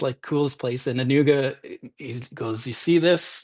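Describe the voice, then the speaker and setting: A man with a Canadian accent and a fairly high pitch. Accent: Canadian accent, noticeable. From Ontario, Canada (Owen Sound). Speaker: writer and podcast guest. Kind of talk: casual chat. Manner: halting, many fillers.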